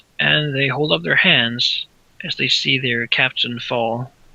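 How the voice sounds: Throughout, the delivery is a natural reading voice.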